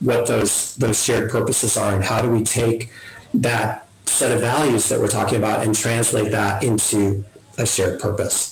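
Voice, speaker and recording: Over noticeable background noise and audible room echo, a man talks in a flat monotone at a medium pitch. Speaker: family wealth advisor, webinar presenter. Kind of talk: webinar presentation. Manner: fast.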